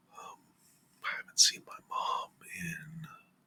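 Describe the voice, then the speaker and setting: A man whispers. He is soft-spoken. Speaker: parent. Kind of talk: casual rambling talk to camera, ASMR. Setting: home, close to a microphone. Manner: whispered, soft-spoken.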